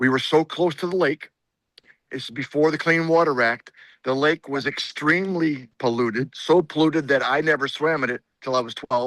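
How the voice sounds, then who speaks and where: A man with an Upper Midwest accent speaks at a moderate pace and a fairly high pitch, his intonation fairly even. The sound is dry and close with no echo, against a quiet background. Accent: Upper Midwest American (Michigan). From southeast Michigan, Monroe County. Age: 60s. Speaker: state senator. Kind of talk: interview. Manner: halting, repeats words.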